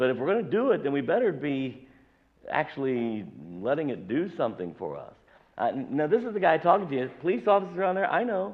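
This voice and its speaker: The man is loud, with a fairly high pitch. His pitch swings very wide. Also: fairly quick pace. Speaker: pastor. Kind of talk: sermon. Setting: church.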